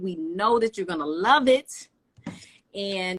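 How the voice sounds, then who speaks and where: Speaking with a Southern US accent, a woman uses a medium pitch at a moderate pace in a dry, close sound with no echo. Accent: Southern twang. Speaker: hair care brand founder. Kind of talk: product promotion on livestream. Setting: live video stream.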